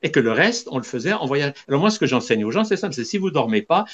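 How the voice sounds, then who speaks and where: A man speaks with very wide pitch swings. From Switzerland. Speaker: holistic doctor, spiritual teacher. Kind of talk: interview.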